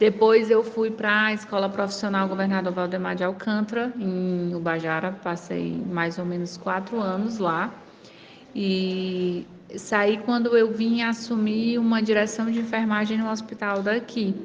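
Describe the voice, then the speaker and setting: A woman in a Ceará accent at a fairly slow pace, medium pitch, fairly even intonation, and audible room echo. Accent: Brazilian Northeastern (Cearense) Portuguese. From Brazil, Ceará (interior, São Benedito). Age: 30s. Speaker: city councillor and nurse. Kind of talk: interview. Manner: frequent fillers and hesitations.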